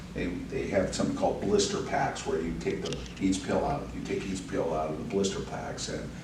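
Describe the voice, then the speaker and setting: Noticeable background noise and audible room echo surround the recording. A man speaks in a fairly low pitch. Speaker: sheriff candidate, law enforcement leader. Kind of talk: podcast interview.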